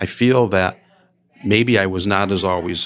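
Someone with an American accent speaks at a moderate pace with ordinary pitch variation, on a very clean recording with a silent background. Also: man. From Chicago area, Illinois. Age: 60s. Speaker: retired school superintendent. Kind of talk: interview conversation.

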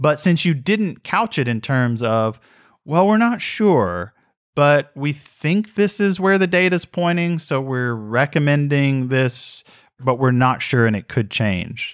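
Very slow speech with very wide pitch swings comes through on a very clean recording with a silent background. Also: man, fairly high pitch for a man. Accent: Southern US. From US South, Mississippi. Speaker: institute director and scholar. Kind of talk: interview.

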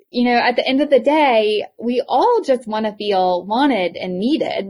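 A woman with a high-pitched voice and a strong Eastern North Carolina accent speaks at a moderate pace with lively intonation. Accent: thick Southern (Eastern North Carolina). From US South, Eastern North Carolina. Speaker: podcast host, educator and healthcare provider. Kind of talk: reflective summary; interview conversation.

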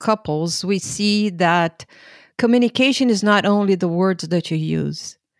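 A woman speaks in a normal speaking voice at a fairly slow pace, medium in pitch with ordinary pitch variation. The recording is very clean over a silent background, with a dry, close sound and no echo. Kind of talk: casual conversation.

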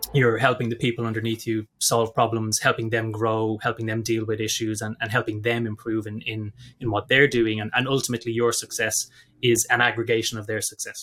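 The man's tone is bright and sharp, his intonation monotone and flat. The recording is very clean, with a silent background. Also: medium pitch for a man, fairly quick pace. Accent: Dublin. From Ireland, Dublin. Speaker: tech company executive. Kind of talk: interview. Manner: halting, many repeated words.

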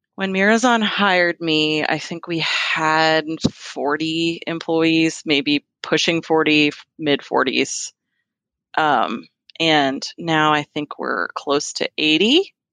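A woman with an American accent speaks very slowly in a very deep, low pitch with a bright, sharp tone and ordinary pitch variation. The sound is dry and close, with no echo. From Virginia, US (Fairfax). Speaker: sales and marketing manager at an IT company. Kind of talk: casual interview.

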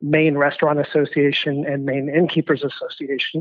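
With monotone, flat intonation, a man speaks at a fairly high pitch. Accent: American. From California. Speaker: hospitality association president. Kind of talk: interview.

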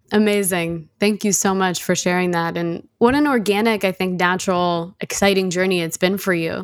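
On a very clean recording with a silent background, a woman speaks at a moderate pace in a medium pitch with hardly any pauses. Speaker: podcast host. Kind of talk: interview conversation. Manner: animated.

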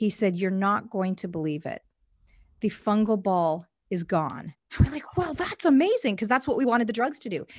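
In a very clean recording with a silent background, a woman with a Canadian accent speaks at a moderate pace in a medium-pitched, somewhat breathy voice that makes very wide pitch swings. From Canada, Indian immigrant family. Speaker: evangelism ministry worker. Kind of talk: interview conversation.

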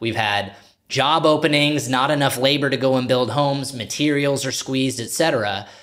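Audible room echo surrounds a man speaking in an energetic tone at medium pitch and a moderate pace. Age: 30s. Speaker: podcast host, real estate broker. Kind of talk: casual interview.

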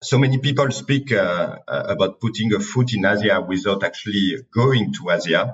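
A man with a French accent speaks at a moderate pace, somewhat breathy. He hardly pauses and keeps his loudness very even. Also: medium pitch for a man, lively intonation. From France. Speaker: podcast host, company CEO. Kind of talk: interview.

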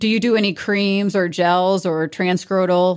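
The recording is very clean and the background silent. A woman speaks in a plain, everyday voice at medium pitch, her intonation fairly even. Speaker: podcast host. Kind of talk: interview.

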